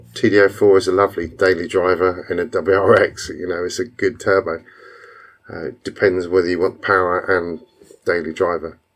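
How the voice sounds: Putting on a character voice, a man speaks fairly quickly at a very deep, low pitch, hoarse, raspy and croaky.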